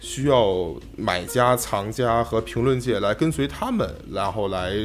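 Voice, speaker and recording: Over music in the background, a man speaks at a fairly slow pace with a medium pitch and ordinary pitch variation. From Beijing, China. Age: 20s. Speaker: art history student. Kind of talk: casual chat.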